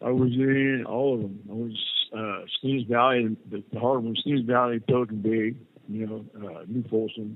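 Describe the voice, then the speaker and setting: Fairly even intonation from a man at medium pitch, at a moderate pace. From California, Santa Cruz. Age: 60s. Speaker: prison inmate. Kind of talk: interview. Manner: halting.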